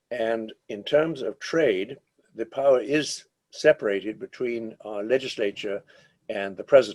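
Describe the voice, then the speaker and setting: Here is an unremarkable speaking voice from a man at a medium pitch, with ordinary pitch variation and a fairly slow pace. His loudness swings widely, and the sound is dry and close with no echo. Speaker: international trade lawyer and lecturer. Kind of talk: lecture.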